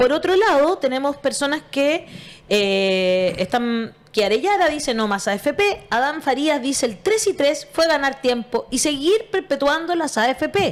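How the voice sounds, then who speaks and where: A woman's high voice at a fairly slow pace, with very wide pitch swings, very even loudness and hardly any pauses. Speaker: radio show host. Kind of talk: interview.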